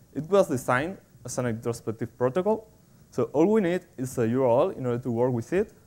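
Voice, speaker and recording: Lively intonation marks this man's speech. His medium-pitched voice has a dark, mellow tone. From Spain. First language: Spanish. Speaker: software developer, conference speaker. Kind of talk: technical conference talk. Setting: stage with audience. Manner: halting, with frequent fillers and repetitions. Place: hall. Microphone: podium.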